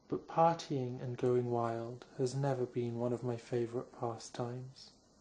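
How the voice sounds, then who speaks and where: With a British accent, a man speaks fairly slowly in a dark, mellow, somewhat breathy tone at a medium pitch. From England. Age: young. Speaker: author. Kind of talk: ASMR sleep reading of own novel. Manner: soft-spoken, slow.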